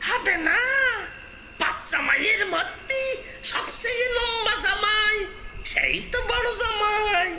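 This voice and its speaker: Shouting in a put-on character voice at a very slow pace, over clear background noise. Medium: read story. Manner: cursing, quarrelsome.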